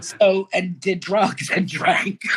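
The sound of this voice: A woman's very slow, fairly low-pitched voice with a bright, sharp tone and a husky, rough edge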